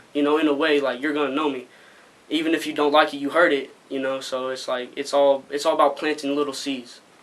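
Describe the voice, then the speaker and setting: Very fast speech from a man with an American accent, monotone and flat in intonation, over noticeable background noise. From Arizona. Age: young. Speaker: rapper. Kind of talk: interview. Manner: halting.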